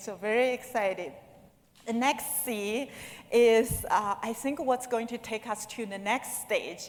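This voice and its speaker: With a fairly high voice, a woman talks with pitch that moves in the usual way. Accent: non-native. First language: not English. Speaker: conference speaker. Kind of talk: conference talk. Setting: stage with audience.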